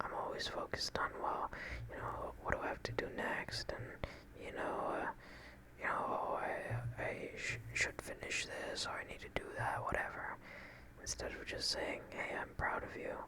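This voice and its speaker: Over noticeable background noise, a man keeps to a whisper at a moderate pace. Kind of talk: ASMR relaxation and affirmation talk to camera. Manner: soft-spoken, calming.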